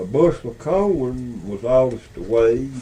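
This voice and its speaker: Very slowly, a man speaks at medium pitch in a Southern Appalachian accent. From Beech Mountain, North Carolina. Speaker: storyteller. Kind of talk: casual conversation. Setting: audio cassette recording.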